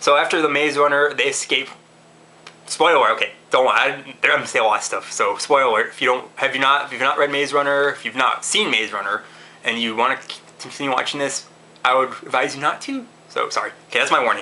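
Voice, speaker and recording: Fairly quick speech from a man at a fairly high pitch, fairly even intonation, and noticeable background noise. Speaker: movie reviewer. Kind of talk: casual video review. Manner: fast; halting, many restarts and fillers.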